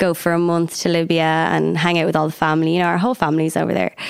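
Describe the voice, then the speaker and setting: The speaker is a woman with an Irish accent. Her pitch is fairly low. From County Meath, Ireland. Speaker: singer. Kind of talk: casual chat.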